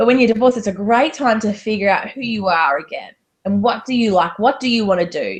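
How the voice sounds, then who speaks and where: The voice has an Australian accent and is somewhat breathy, with ordinary pitch variation. It moves at a very fast pace. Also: woman, fairly high pitch for a woman. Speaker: divorce coach. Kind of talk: interview.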